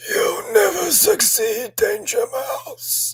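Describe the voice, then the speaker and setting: In a put-on character voice, the speaker sounds croaky and guttural while talking at a very slow pace. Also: man, extremely high pitch for a man. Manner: menacing.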